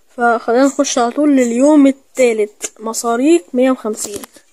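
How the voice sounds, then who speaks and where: A man with an Egyptian accent speaks at an extremely high pitch. There is noticeable background noise. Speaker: gaming YouTuber. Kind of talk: gameplay commentary. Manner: fast; animated.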